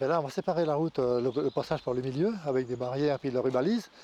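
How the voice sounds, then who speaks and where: With a dark, mellow tone and ordinary pitch variation, the voice races at a very fast pace in a dry, close sound with no echo. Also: man. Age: 70s. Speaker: mayor. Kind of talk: news interview. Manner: hesitant.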